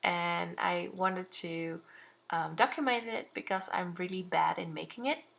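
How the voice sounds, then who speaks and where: A woman speaks with a Dutch accent. Her pitch is fairly low, with ordinary variation. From Netherlands. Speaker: craft vlogger. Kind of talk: tutorial. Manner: halting.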